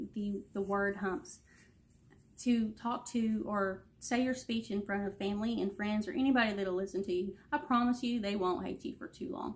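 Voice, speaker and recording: Somewhat breathy, a woman's medium-pitched voice shows ordinary pitch variation. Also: moderate pace. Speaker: student giving a class presentation. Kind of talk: class presentation video. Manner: many ums and pauses.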